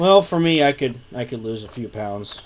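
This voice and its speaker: A man with ordinary pitch variation, noticeable background noise behind him. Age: 20s. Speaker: live stream co-host. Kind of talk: casual chat. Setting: live stream.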